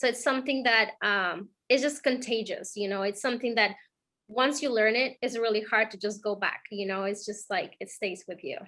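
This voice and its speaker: A woman with a non-native accent speaks at a moderate pace in a fairly high, bright, sharp voice. Her pitch varies in an ordinary way. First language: not English. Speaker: program mentee, bank employee. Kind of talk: interview. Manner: halting, many fillers.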